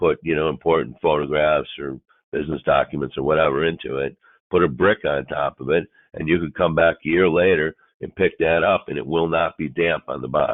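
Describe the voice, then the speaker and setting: Speaking at a fairly quick pace, a man with a very deep, low pitch keeps his intonation fairly even. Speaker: product presenter. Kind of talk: webinar presentation. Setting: webinar.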